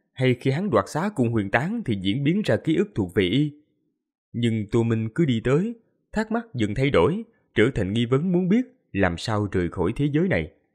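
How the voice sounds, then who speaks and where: Spoken at a moderate pace against a quiet background, the voice swings very widely in pitch. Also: man. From Vietnam. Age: young. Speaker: audiobook narrator. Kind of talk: reading aloud. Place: home room. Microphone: studio mic.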